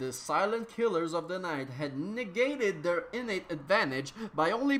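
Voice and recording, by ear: A natural voice reading aloud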